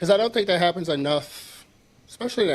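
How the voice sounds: A man is soft-spoken. His pitch varies in an ordinary way.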